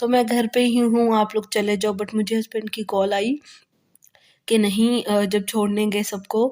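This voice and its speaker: A woman's dark, mellow tone, flat and monotone, at a fairly slow pace. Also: fairly high pitch for a woman. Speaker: vlogger. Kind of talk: vlog voice-over narration.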